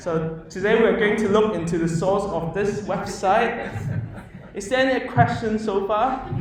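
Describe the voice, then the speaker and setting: A man talks with an animated tone and a high pitch, using ordinary pitch variation. Room echo is audible and background noise is noticeable. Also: fairly slow pace. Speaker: software developer giving a meetup talk. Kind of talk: live coding presentation. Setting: meetup talk with live audience. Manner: loud. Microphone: speaking without a microphone while typing.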